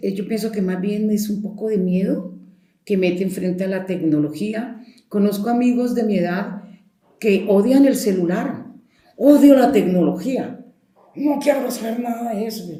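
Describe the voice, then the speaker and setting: There is audible room echo as a woman talks at a fairly slow pace in a dark, mellow tone, somewhat breathy, with medium pitch and ordinary pitch variation. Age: 70s. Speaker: storyteller. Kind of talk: interview. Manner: conversational.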